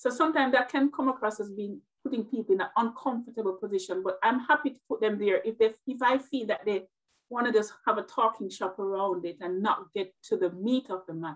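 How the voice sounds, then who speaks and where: Here is a woman with a Jamaican accent and a fairly high pitch. She moves at a fairly quick pace with ordinary pitch variation. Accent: Jamaican, described as melodic. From Jamaica, Westmoreland. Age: 40s. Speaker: nurse and motivational speaker. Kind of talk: interview conversation. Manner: direct.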